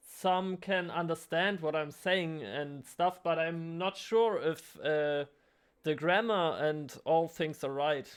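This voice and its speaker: A very slow pace with a German accent, against a quiet background. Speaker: artist vlogger, trainee kindergarten teacher. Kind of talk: casual vlog. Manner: halting, many fillers.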